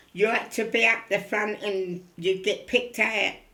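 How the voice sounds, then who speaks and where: A woman speaks with a Cockney accent at a medium pitch. Her tone is bright and sharp. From East End of London. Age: 90s. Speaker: elderly interviewee. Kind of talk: oral history interview.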